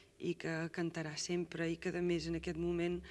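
Very slowly, a woman speaks in a monotone, flat intonation. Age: young. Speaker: singer. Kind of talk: interview answer. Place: studio.

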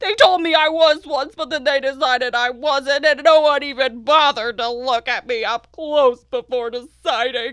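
A female-sounding, cartoonish character voice speaks at a moderate pace with a high pitch. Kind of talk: children's educational show character. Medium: puppet show. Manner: mopey, self-pitying, wistful.

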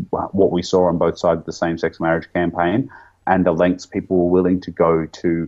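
Against a quiet background, a man speaks in a very deep, low pitch with an Australian accent. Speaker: YouTube interviewer and activist; YouTube interviewer. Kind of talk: interview conversation. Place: home room. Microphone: studio mic.

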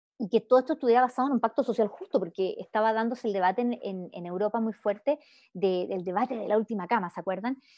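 Speaking very fast, a woman uses a Chilean accent. Her pitch is fairly high, with ordinary pitch variation. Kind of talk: talk. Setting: video call.

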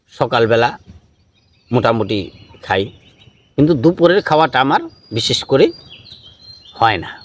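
A man with a plain, everyday voice at a medium pitch, with lively intonation and big swings in loudness. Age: 50s. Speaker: Sufi spiritual speaker. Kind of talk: question-and-answer talk giving advice.

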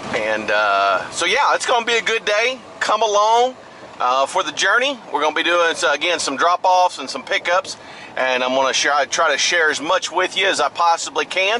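A man's pitch makes very wide swings. Light background noise sits behind him. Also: moderate pace. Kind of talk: casual vlog chat. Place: car.

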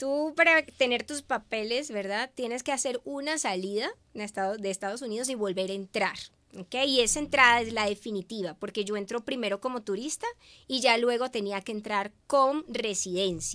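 In a fairly high pitch, a woman speaks at a moderate pace with ordinary pitch variation and a bright, sharp tone. The background is quiet. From Venezuela. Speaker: media communicator; guest. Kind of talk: interview. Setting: live stream. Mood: warm, emotional storytelling. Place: studio. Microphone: studio mic.

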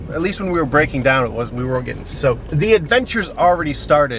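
A man is speaking with noticeable background noise. The sound is dry with no echo. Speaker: vlogger. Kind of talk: casual vlog chat. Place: car. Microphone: phone near.

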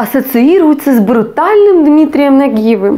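A woman's high-pitched, animated voice with lively intonation. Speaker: comedian. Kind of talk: stand-up comedy. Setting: stage with audience. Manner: animated, playing out dialogue between husband and wife.

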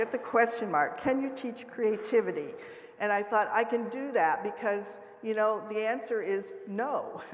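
A woman with an American accent, fairly high pitch and ordinary pitch variation, at a moderate pace amid noticeable background noise. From US Midwest, South Dakota. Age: 70s. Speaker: professor. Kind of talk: lecture. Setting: stage with audience. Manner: animated; humorous.

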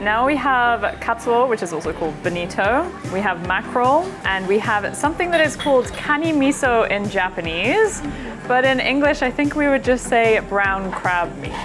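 Speaking at a moderate pace, a woman is heard with clear music in the background. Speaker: guest. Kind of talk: casual explanatory chat. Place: cafe. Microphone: lapel.

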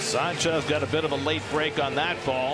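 Over background music, a man with a fairly high voice speaks at a fairly quick pace with ordinary pitch variation. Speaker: baseball commentator. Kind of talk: live sports commentary, play-by-play and analysis. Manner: brisk and clipped, excited on big plays.

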